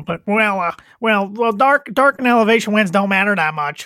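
In a put-on character voice with a whiny tone, the speaker talks at a fairly slow pace. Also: man, high pitch for a man. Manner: whiny, complaining.

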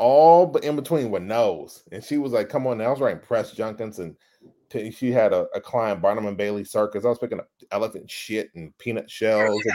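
A normal speaking voice with an American accent moves at a fairly quick pace with ordinary pitch variation. The recording is very clean, with a silent background. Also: man, medium pitch for a man. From US South, Dallas, Texas (Oak Cliff). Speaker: advertising creative executive. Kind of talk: casual interview chat.

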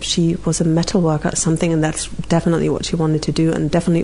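A woman's fairly low-pitched voice with a German accent, very fast pace and monotone, flat intonation, amid noticeable background noise. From rural East Germany. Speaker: interview guest sharing mental health story. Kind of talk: personal testimony in interview. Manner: hesitant with many fillers.

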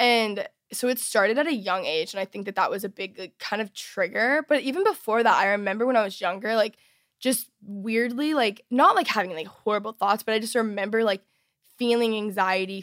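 In a normal speaking voice, a woman with an American accent talks at a fairly quick pace with fairly high pitch and ordinary pitch variation, on a very clean recording with a silent background. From Texas. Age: 20s. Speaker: youtuber and podcaster. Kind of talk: interview, personal testimony. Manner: casual, many fillers.

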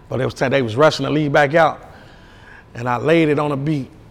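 A man with an American accent talks at a fairly quick pace in a flat, monotone way and a fairly high pitch. Noticeable background noise runs under his voice. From Chicago West Side. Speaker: rapper. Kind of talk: casual chat.

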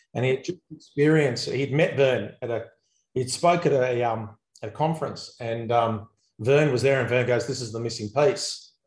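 Somewhat breathy, a man talks at a moderate pace. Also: medium pitch for a man, ordinary pitch variation. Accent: Australian. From Australia. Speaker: accountant and business coach. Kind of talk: interview. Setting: video call.

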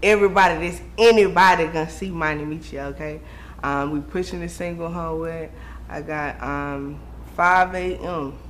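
A woman is heard with noticeable background noise and audible room echo. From Raleigh, North Carolina. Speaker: rapper. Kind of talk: casual interview.

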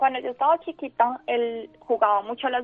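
A woman with an unremarkable speaking voice talks at a moderate pace, pitched fairly high and varying in an ordinary way. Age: 20s. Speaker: student sharing her illness story. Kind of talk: radio interview, personal testimony.

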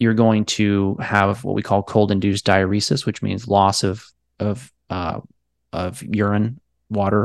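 This man has an unremarkable speaking voice, fairly low in pitch, with an American accent. His intonation is fairly even, and the recording is dry and close with no echo against a quiet background. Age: 30s. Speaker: physician. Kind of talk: interview.

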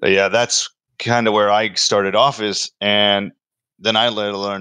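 A man with an American accent speaks in a flat monotone at a fairly slow pace, his fairly low voice carrying a bright, sharp tone over a quiet background. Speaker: podcast host. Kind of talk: casual interview.

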